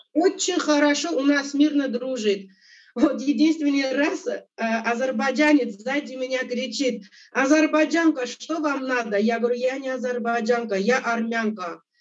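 This woman has an Armenian accent and a high pitch. She speaks at a fairly slow pace with ordinary pitch variation. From Armenia, Abovyan. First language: Armenian (speaking Russian). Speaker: interview guest. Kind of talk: interview.

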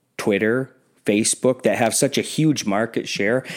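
A man talks in a plain, everyday voice at medium pitch and a fairly slow pace. His pitch varies in an ordinary way on a very clean recording with a silent background. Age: 40s. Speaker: podcast host. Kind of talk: solo commentary podcast. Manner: casual with frequent fillers and repetitions.

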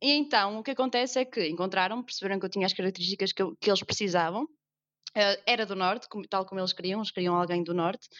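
A woman's medium-pitched voice at a very fast pace, with hardly any pauses and ordinary pitch variation. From northern Portugal. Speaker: actress. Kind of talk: casual interview chat.

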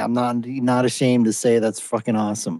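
Talking extremely quickly, the man keeps his pitch in the middle range. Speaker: podcast host. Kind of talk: casual chat. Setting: online audio room.

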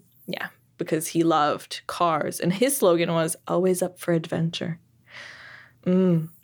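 At a fairly slow pace with long, frequent pauses, a woman speaks at a fairly low pitch with fairly even intonation in a very clean recording with a silent background. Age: 30s. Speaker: podcast co-host. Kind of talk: casual chat.

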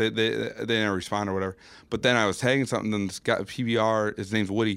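Fairly low in pitch, a man talks fairly quickly with an American accent and monotone, flat intonation. The recording is very clean, with a silent background. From Minnesota, Burnsville. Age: 30s. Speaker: photographer. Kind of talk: casual chat. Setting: studio.

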